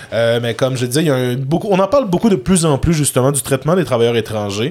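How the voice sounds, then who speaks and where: Animated and with lively intonation, a man with a Quebec accent speaks at a fairly high pitch. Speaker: podcast co-host. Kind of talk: casual chat.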